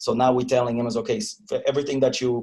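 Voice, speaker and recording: This is a man talking. He has a Polish accent. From Poland. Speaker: agile trainer. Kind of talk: interview. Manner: halting, many repetitions and fillers.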